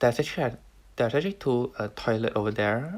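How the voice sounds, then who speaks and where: The speaker is a man with a soft-spoken manner. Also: very clean recording, silent background. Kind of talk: casual talk to camera.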